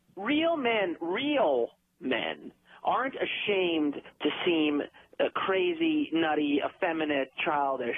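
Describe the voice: A man speaks slowly in a put-on character voice with a slightly husky edge. His pitch is fairly high and swings a lot.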